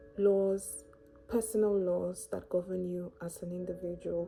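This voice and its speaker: Over music in the background, a woman with a calm, gentle tone speaks at a fairly slow pace and medium pitch with fairly even intonation. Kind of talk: faith-based reflection talk to camera.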